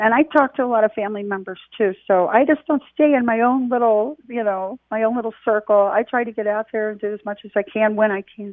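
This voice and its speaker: A woman with a fairly high pitch, ordinary pitch variation, hardly any pauses and an American accent. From Washington DC area. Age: 60s. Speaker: widow of a veteran, volunteer. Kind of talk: interview. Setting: phone call. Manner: halting.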